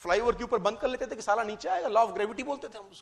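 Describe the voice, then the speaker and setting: An extremely high-pitched man speaks in an animated tone. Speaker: motivational speaker. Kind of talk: motivational talk.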